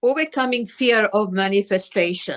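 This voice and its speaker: This woman has a fairly high pitch and talks at a very slow pace. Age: 70s. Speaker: twelve-step group co-founder, speaker. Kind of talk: testimony. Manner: halting.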